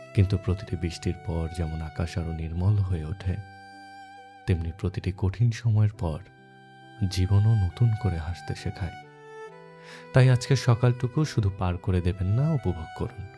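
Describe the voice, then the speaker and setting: Music plays in the background as a man speaks. His voice is very deep and low, with ordinary pitch variation. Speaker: radio jockey, radio-style host. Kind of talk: radio-style morning show intro with poetic narration.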